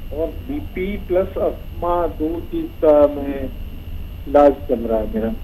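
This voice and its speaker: A man is speaking. Noticeable background noise and an audible room echo fill the recording. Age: 60s. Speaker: caller. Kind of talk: phone-in question.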